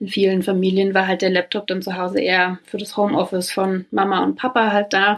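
Speaking fairly quickly with hardly any pauses, a woman keeps a medium pitch and a monotone, flat intonation. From Brandenburg, Germany. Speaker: founder and director of a think tank. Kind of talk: interview.

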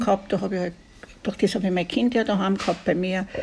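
Somewhat breathy, a woman speaks at a very fast pace. Her pitch variation is ordinary. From Austria, Tyrol (Kitzbühel area, rural). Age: 70s. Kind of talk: interview. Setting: restaurant by a lake.

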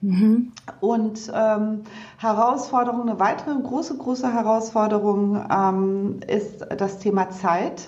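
Noticeable background noise and audible room echo surround a woman's fairly high voice. She speaks at a very slow pace with fairly even intonation. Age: 40s. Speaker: physician and company director, book co-author. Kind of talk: interview. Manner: hesitant, many fillers and repetitions.

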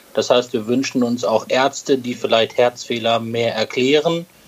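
Noticeable background noise sits behind this recording. A man speaks at a medium pitch and a fairly slow pace. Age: 40s. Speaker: podcast co-host, medical tech sales rep. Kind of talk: casual podcast chat. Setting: hotel room, remote recording.

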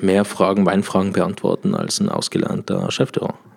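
A man with an Austrian accent speaks at a fairly low pitch. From Austria, Tyrol. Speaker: sommelier. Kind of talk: casual chat. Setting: hotel room.

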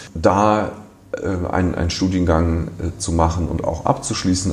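Speaking at a fairly slow pace, a man with a very deep, low pitch keeps his intonation fairly even, and audible room echo surrounds his voice. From Düsseldorf, Germany. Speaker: art fair director. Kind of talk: interview. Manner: relaxed.

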